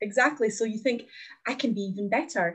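A somewhat breathy woman with a Glaswegian accent talks at a fairly quick pace with ordinary pitch variation. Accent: Glaswegian Scottish. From Glasgow, Scotland (born in Latvia, moved at nine). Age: 20s. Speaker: podcast guest sharing fitness story. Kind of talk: casual interview chat, personal story.

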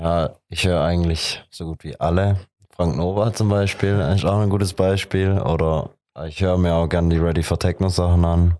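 A man talks at a moderate pace in a very deep, low pitch. His tone is dark and mellow, his intonation fairly even, against a quiet background. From Heilbronn, Germany. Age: 20s. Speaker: techno DJ. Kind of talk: casual interview.

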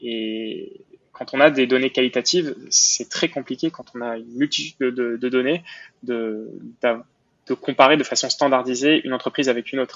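Speaking at a moderate pace, a man with a medium pitch keeps his intonation fairly even while his loudness swings widely. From Montreal, Quebec. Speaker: entrepreneur. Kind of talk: interview. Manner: halting, frequent repetitions and fillers.

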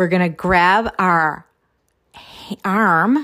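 An animated, fairly low female voice on a very clean recording with a silent background. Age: 50s. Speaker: life coach. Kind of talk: solo podcast monologue; guided tapping exercise. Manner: loud, animated.

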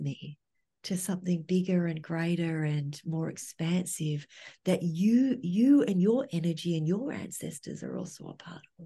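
Against a quiet background, a woman with a fairly low, dark, mellow voice that is somewhat breathy speaks at a fairly slow pace with ordinary pitch variation. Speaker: trauma therapist and educator. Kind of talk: casual chat.

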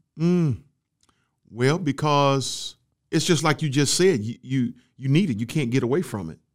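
On a very clean recording with a silent background, a man with a Southern US accent speaks at a fairly high pitch with lively intonation and long, frequent pauses. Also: moderate pace. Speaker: marriage podcast co-host. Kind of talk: casual chat.

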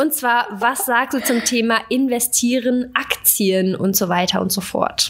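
A woman with a fairly high pitch speaks at a very slow pace, with hardly any pauses and very even loudness. Her pitch varies in an ordinary way, and noticeable background noise runs underneath. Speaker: fitness podcast co-host. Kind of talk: casual chat.

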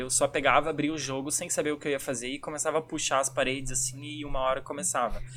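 Very fast male speech over noticeable background noise. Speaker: youtuber, podcast co-host. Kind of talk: casual chat.

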